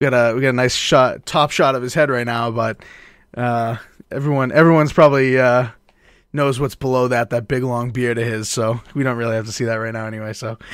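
Heard on a very clean recording with a silent background, a man with an unremarkable speaking voice and an American accent talks at a fairly quick pace, at a medium pitch with fairly even intonation. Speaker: podcast host. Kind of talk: casual chat. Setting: live stream.

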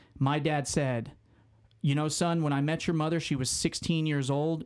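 A man speaks in an unremarkable speaking voice, fairly high for a man, with fairly even intonation at a moderate pace. The recording is very clean, with a silent background. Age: 20s. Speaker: sports writer. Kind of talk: personal testimony.

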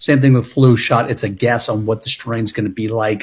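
The voice is somewhat breathy, moving at a fairly quick pace with ordinary pitch variation. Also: man. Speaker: health and fitness clinician. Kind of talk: casual chat.

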